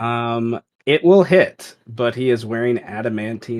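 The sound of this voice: With ordinary pitch variation, an unforced reading voice comes through over a quiet background.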